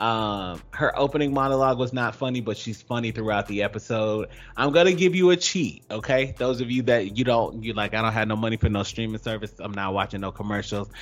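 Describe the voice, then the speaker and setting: This man has a normal speaking voice, medium in pitch, with ordinary pitch variation. He talks at a fairly quick pace with hardly any pauses. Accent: American. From US South, Georgia. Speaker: radio show co-host. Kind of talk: casual chat.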